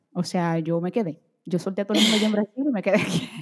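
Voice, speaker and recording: Ordinary pitch variation from a woman in a very clean recording with a silent background. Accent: Portuguese. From Brazil, moved to Dominican Republic as child, back at 15. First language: Portuguese (speaking Spanish). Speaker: beauty and fashion content creator. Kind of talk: interview conversation.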